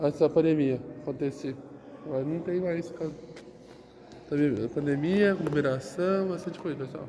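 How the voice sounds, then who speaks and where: Noticeable background noise under a fairly slow delivery. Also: man. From Brazil, Santos (São Paulo coast); São Paulo, Brazil. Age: 20s. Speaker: vlogger. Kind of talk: casual vlog walkthrough. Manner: halting, repetitive. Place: hall. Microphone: phone near.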